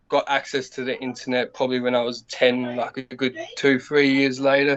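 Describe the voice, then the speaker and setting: In an Australian accent, a man talks with monotone, flat intonation. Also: medium pitch for a man, moderate pace. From Australia, Adelaide (North Side). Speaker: battle rapper. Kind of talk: casual interview.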